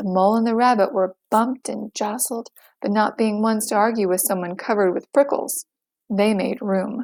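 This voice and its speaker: In a very clean recording with a silent background and a dry, close sound with no echo, a woman with an unremarkable speaking voice and a fairly high pitch talks at a moderate pace with ordinary pitch variation. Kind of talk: children's picture book read-aloud.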